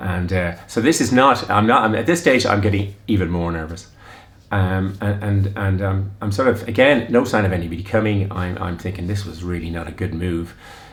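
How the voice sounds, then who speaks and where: There is audible room echo and noticeable background noise as a man speaks at a fairly low pitch with ordinary pitch variation. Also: fairly quick pace. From Ireland. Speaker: running vlogger. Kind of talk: casual storytelling. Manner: halting, many fillers and restarts.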